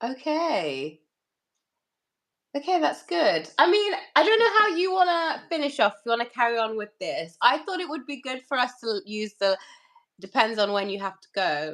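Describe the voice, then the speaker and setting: This woman has a British accent and a high pitch, speaking at a moderate pace. Her pitch swings very widely and her loudness swings a lot too. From UK. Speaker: tarot reader. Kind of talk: casual chat with tarot reading. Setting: live stream with co-host. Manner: casual, chatty.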